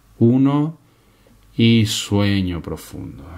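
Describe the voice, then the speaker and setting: In a quiet setting, a man talks in a calm, soothing tone with ordinary pitch variation. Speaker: hypnotist. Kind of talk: guided hypnosis induction. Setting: studio, binaural 3D audio for headphones. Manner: slow, calm, soothing; slow, measured, hushed pacing with pauses. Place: home room.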